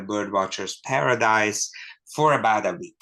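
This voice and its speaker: A man with a Hungarian accent, fairly low in pitch, with a bright, sharp tone, fairly even intonation, a moderate pace and a quiet background. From Hungary. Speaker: ornithologist and book author. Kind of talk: author talk.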